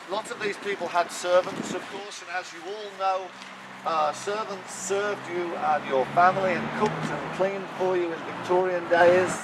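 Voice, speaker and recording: Noticeable background noise sits under a man's high-pitched voice, delivered at a moderate pace. His intonation stays monotone and flat while his loudness swings widely. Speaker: town crier, walking tour guide. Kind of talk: walking tour guide talk, storytelling to a group. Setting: outdoors, walking tour.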